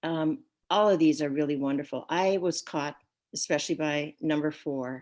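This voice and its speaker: With ordinary pitch variation, a woman speaks at a moderate pace in a very deep, low pitch. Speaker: guest speaker. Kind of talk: talk. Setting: video call. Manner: soft-spoken.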